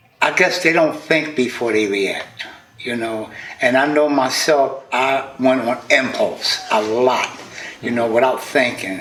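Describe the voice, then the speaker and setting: Someone speaks at a fairly slow pace with ordinary pitch variation, amid noticeable background noise and audible room echo. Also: man, medium pitch for a man. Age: 60s. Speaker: podcaster, interview guest. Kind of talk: casual interview.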